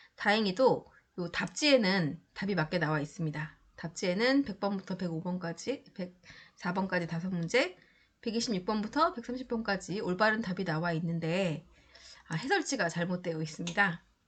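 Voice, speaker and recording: Speaking at a moderate pace, a woman sounds somewhat breathy, her medium pitch shifting an ordinary amount. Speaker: exam prep lecturer. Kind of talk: lecture.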